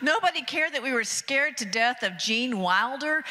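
A woman's raised, projected voice in an American accent, high-pitched with very wide pitch swings, at a moderate pace. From Athens, Georgia, US. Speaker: stand-up comedian. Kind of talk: stand-up comedy bit. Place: stage. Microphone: handheld.

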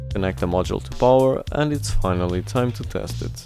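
A man with a very deep, low pitch and very wide pitch swings, music playing in the background. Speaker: DIY electronics reviewer. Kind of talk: tutorial narration.

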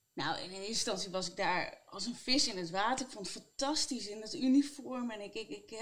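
Over light background noise, a woman with a fairly high pitch talks at a moderate pace, her intonation lively. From Netherlands, Utrecht region; Netherlands. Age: 30s. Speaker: psychiatric nurse; interview guest. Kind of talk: interview. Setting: on a bench. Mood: reflective, warm. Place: office. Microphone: lapel.

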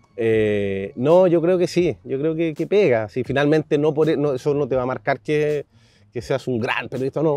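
A man with a Chilean accent speaks at a moderate pace in a fairly high pitch, with a dark, mellow tone and a dry sound with no echo. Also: ordinary pitch variation. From southern Chile. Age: 40s. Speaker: sports journalist. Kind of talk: interview. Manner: halting. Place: garden.

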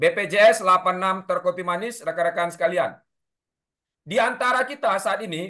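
This man's voice is high-pitched, with a bright, sharp tone. He talks at a moderate pace against a quiet background. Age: 30s. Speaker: safety instructor. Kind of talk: lecture. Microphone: video call.

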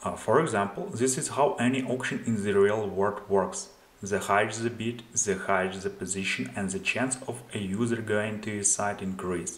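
Amid audible room echo, a man with a fairly low pitch talks at a moderate pace with fairly even intonation.

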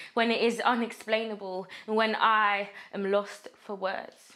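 A woman sounds furious, her fairly high voice bright and sharp. The background is quiet. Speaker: actor. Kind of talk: dramatic monologue performance, raw and confrontational. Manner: anguished, building to furious defiance; rhythmic, relentless repetition of accusing phrases. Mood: anguished, angry, intense. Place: studio.

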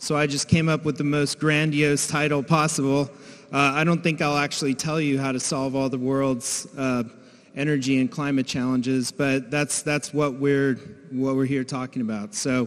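With a quiet background, a man holds a moderate pace and fairly even intonation. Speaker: conference presenter. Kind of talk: conference talk. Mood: relaxed, lightly humorous. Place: hall. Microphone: handheld.

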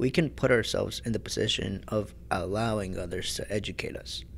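A man talks at a moderate pace with a fairly low pitch and vocal fry. His intonation is lively. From US, partly Mexico City. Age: 20s. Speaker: student podcast co-host. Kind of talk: educational podcast discussion.

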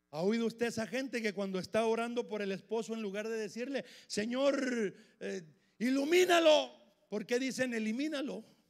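Against a quiet background, a man with an animated tone talks at a moderate pace at an extremely high pitch, with ordinary pitch variation. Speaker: preacher. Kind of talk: sermon. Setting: church with congregation. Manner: animated, emphatic; repetitive, punchy, with frequent 'hermano'. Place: church. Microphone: handheld.

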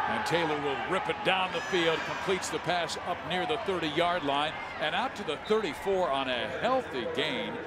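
A man's high-pitched voice at a fairly slow pace, ordinary pitch variation, and noticeable background noise. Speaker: play-by-play announcer. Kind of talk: live sports commentary.

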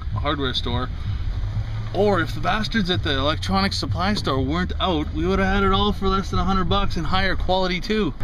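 The recording of a man is dry, with no echo, but has noticeable background noise. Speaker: vlogger. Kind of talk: casual vlog chat. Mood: joking, mildly annoyed. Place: car. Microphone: phone near.

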